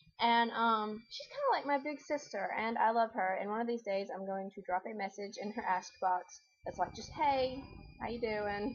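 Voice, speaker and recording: A woman with a fairly high pitch and ordinary pitch variation talks at a moderate pace amid noticeable background noise. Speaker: video blogger. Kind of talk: casual chat. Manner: animated.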